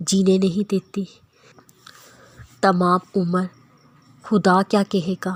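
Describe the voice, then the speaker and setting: Her voice is somewhat breathy and sits at a medium pitch, with monotone, flat intonation. The woman is recorded dry and close, with no echo. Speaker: voice-over narrator. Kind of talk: Islamic quotes narration.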